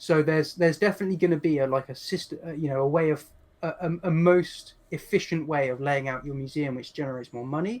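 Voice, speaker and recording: A man with an English accent talks at a very fast pace. His pitch is fairly high with ordinary variation. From England. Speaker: game designer and palaeontologist. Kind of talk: interview.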